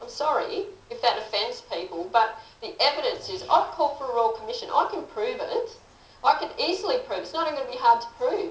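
In an Australian accent, a woman talks at a fairly quick pace with very wide pitch swings, and the room echo is audible. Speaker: political candidate and teacher; candidate, teacher. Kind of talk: interview. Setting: studio. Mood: aggrieved, earnest. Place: studio.

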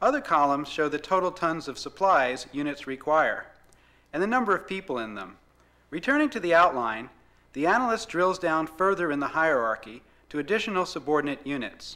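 A man's fairly quick speech with lively intonation. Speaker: narrator. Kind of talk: scripted product demo narration. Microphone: old recording.

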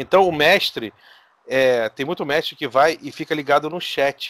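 A man's voice with ordinary pitch variation. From Brazil. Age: 40s. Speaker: RPG game master, content creator; podcast guest. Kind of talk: casual chat. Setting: online call. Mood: relaxed, friendly. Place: home room.

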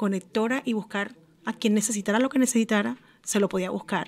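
A woman speaks in a Colombian coastal accent. Her pitch is fairly high. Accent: Colombian coastal (costeño). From Colombia, Barranquilla (Caribbean coast). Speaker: journalist and magazine editor; journalist. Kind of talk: radio talk show chat. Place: studio. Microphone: studio mic.

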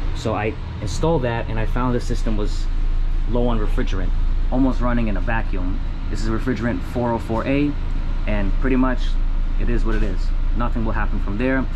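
A man talking fairly quickly at a very even loudness, with noticeable background noise. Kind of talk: tutorial. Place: kitchen. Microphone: phone near.

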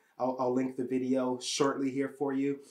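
A man speaks at a fairly quick pace in a medium pitch, with an enthusiastic tone. The background is quiet. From Canada. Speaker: YouTube software tutorial host. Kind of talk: channel intro to camera. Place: home room.

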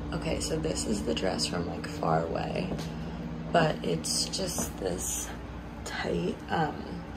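The speaker is a woman. Noticeable background noise can be heard. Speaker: vlogger. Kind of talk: casual vlog chat. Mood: cheerful, relaxed. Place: home room. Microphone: phone near.

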